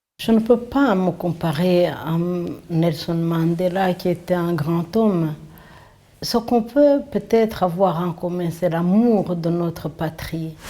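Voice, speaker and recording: A woman's dark, mellow voice, fairly low in pitch with ordinary pitch variation, at a very slow pace. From Rwanda. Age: 60s. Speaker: genocide survivor. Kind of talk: testimony.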